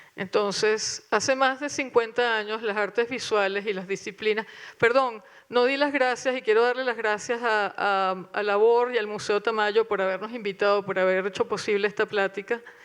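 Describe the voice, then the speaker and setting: This woman has an unremarkable speaking voice, fairly high in pitch, delivered at a moderate pace with fairly even intonation. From Venezuela. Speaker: curator. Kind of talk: panel talk with reading aloud. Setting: auditorium with audience.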